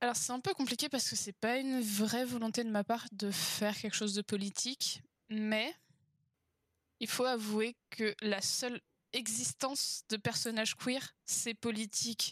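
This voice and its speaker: A woman talks in an unremarkable speaking voice with a fairly high pitch and fairly even intonation. The sound is dry and close with no echo. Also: fairly slow pace. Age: 20s. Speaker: author and engineer. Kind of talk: interview conversation.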